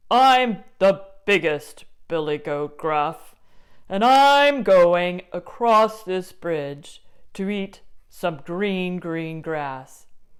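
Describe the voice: In a put-on character voice, a female-sounding speaker talks very slowly at a medium pitch for a woman.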